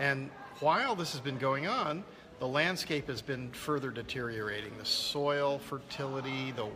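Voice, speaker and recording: Amid noticeable background noise and audible room echo, a man with a medium pitch and ordinary pitch variation talks at a fairly slow pace. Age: 60s. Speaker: land restoration expert and filmmaker. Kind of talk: interview. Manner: halting, many repeated words.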